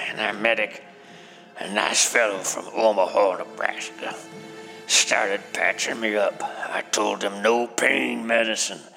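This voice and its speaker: Clear music plays in the background. A man with a medium-pitched voice speaks at a fairly slow pace. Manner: proud, rambling old man storytelling.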